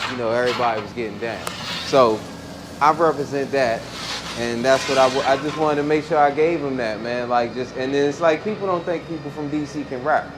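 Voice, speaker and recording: Over noticeable background noise, a man with a DC accent talks at a fairly quick pace in a fairly high voice with ordinary pitch variation. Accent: DC accent, noticeable r-sounds. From Washington, DC. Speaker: rapper. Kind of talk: casual podcast chat. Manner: animated.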